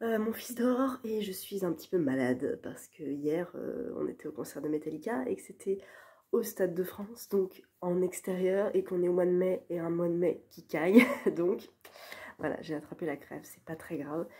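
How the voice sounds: At a moderate pace, this voice has a dark, mellow tone with a husky, rough edge and ordinary pitch variation. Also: woman.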